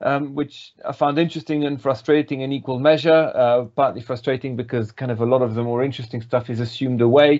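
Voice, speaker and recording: Talking very fast with hardly any pauses, a man keeps a medium pitch and a fairly even intonation. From Belgium. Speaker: politics lecturer. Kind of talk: interview.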